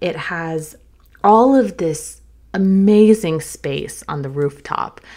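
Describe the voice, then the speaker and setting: The voice carries an American accent with ordinary pitch variation. The recording is very clean, with a silent background. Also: woman. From US South, North Carolina. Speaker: travel podcast host. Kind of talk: solo podcast monologue. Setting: studio.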